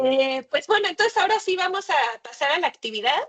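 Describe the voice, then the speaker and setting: A woman talking at a fairly quick pace with very wide pitch swings. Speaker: workshop facilitator. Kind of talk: workshop presentation.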